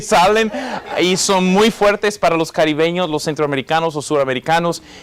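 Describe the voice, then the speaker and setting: At a moderate pace, a man speaks in a fairly high pitch, and his pitch varies in an ordinary way. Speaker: pastor and evangelist. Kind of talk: sermon. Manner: halting, many fillers and repeats.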